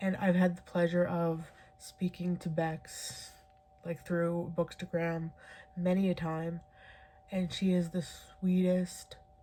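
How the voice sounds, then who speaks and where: The delivery is soft-spoken and somewhat breathy, with a dark, mellow tone. Intonation stays monotone and flat at a very slow pace. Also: woman. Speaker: book reviewer. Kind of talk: casual video monologue. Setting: home at night. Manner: quiet, soft-spoken; filler-heavy, casual.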